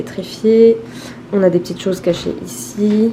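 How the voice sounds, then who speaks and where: The speech has fairly even intonation and a moderate pace. Noticeable background noise sits behind it. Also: woman. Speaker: vlogger. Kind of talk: vlog.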